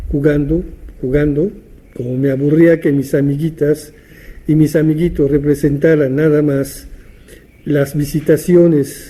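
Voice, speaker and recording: A man speaks at a fairly high pitch with a somewhat breathy, dark and mellow tone. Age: 70s. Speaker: theatre teacher and writer. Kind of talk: interview monologue, reminiscing. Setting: at his home. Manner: halting, with repetitions and fillers.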